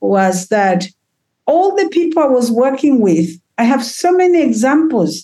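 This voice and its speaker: With a high pitch and very wide pitch swings, a woman speaks at a fairly slow pace. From Tanzania, Kilimanjaro region. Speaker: healer and trauma therapist. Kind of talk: casual chat, community conversation. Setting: video call. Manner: animated, lively.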